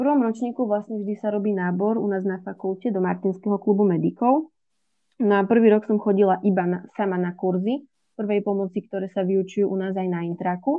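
A woman with a plain, everyday voice speaks fairly quickly at a medium pitch, her intonation fairly even. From Slovakia, Žilina. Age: 20s. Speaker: medical student. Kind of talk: interview.

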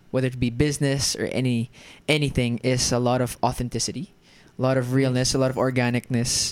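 Medium pitch and an American accent in a man's speech. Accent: American-sounding. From Germany. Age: 20s. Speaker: actor and entrepreneur. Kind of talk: casual chat.

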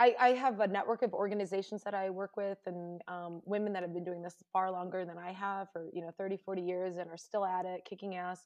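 In an American accent, a woman at medium pitch talks at a fairly quick pace with hardly any pauses, fairly even intonation and big swings in loudness, a normal speaking voice. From Indiana, US Midwest. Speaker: dog rescuer and world traveler. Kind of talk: interview conversation.

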